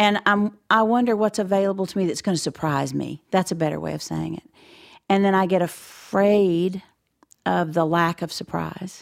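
Here a woman speaks in a plain, everyday voice. Her pace is moderate and her pitch is medium. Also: fairly even intonation, very clean recording, silent background. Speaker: podcast co-host. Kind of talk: interview conversation.

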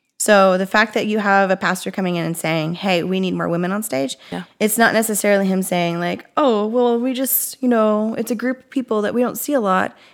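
A plain, everyday voice moves at a fairly quick pace with hardly any pauses. Its pitch varies an ordinary amount while its loudness swings a lot. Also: woman, medium pitch for a woman. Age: 30s. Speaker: podcast co-host, former library worker. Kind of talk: casual chat. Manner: fast, filler-heavy.

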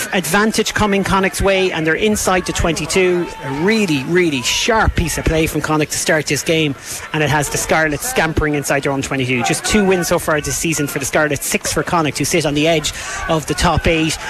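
Music plays in the background as a man with an animated tone talks at a fairly quick pace and fairly high pitch, with ordinary pitch variation. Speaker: play-by-play rugby commentator. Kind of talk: live sports commentary, play-by-play. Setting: stadium commentary position, open air with wind and rain. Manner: fast, animated, urgent as the action builds.

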